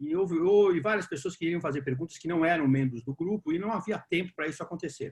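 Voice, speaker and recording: A high-pitched man at a very fast pace, with hardly any pauses and ordinary pitch variation. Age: 60s. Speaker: discussion group moderator. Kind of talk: online panel Q&A.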